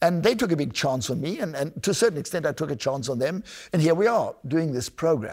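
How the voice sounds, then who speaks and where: A man's fairly high voice with vocal fry, very wide pitch swings and a South African accent, at a fairly quick pace. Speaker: podcast host and oboist. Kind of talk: interview, casual conversation.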